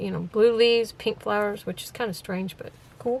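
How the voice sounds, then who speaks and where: A woman's fairly high-pitched voice comes with noticeable background noise behind it. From US South, Florida and Texas. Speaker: crafter. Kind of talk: crafting tutorial. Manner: casual, chatty.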